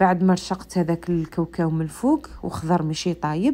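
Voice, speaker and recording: A woman's voice with a dark, mellow tone moves at a moderate pace. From central Algeria. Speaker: cooking video creator. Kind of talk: cooking tutorial. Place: kitchen. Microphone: phone near.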